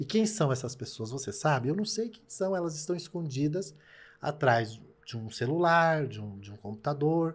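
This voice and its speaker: A man's somewhat breathy, fairly high-pitched voice at a moderate pace, with very wide pitch swings and big swings in loudness. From Brazil. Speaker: TV presenter and content creator; TV presenter, content creator. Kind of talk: casual interview. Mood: indignant, sad about hate. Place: studio. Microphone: studio mic.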